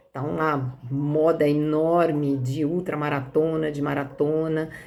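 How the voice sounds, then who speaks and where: Here a woman speaks at a very deep, low pitch. Her tone is dark and mellow. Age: 60s. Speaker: physical education teacher and amateur runner. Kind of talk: personal testimony interview. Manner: hesitant, with fillers and self-corrections.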